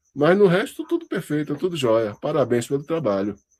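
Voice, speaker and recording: This man talks in a fairly high register with lively intonation. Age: 60s. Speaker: university lecturer. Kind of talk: lecture feedback to student. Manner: conversational, halting.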